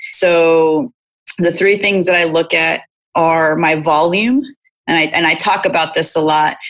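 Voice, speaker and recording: This woman has a plain, everyday voice, fairly low in pitch with ordinary pitch variation. She talks at a fairly slow pace with very even loudness. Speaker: performance coach. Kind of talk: interview conversation.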